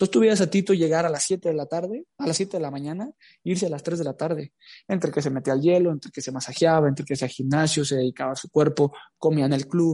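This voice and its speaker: Against a quiet background, a man speaks at a very fast pace and fairly high pitch. His tone is dark and mellow, with ordinary pitch variation. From Mexico, Jalisco. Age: 20s. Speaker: footballer. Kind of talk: interview.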